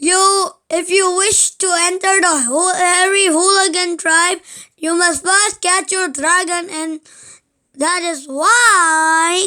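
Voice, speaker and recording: Shouting and bellowing in a put-on character voice, a woman with an extremely high pitch speaks at a very slow pace with fairly even intonation. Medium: read story. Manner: screaming, bellowing.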